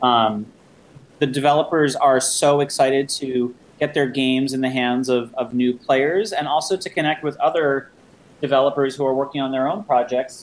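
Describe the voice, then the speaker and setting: A plain, everyday voice from a man with an American accent, at a moderate pace with fairly even intonation. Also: fairly high pitch for a man. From New Jersey. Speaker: games convention founder. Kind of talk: interview.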